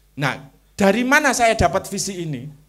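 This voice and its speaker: With lively intonation, this man delivers his words at a moderate speed. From Java, Indonesia. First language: Javanese (speaking Indonesian). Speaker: Islamic culture thinker. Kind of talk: interview talk on religion and culture.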